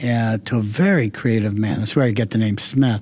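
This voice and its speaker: A man with an American accent, medium pitch and ordinary pitch variation. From southern California. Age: 60s. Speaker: retired insurance executive. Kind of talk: interview. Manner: halting.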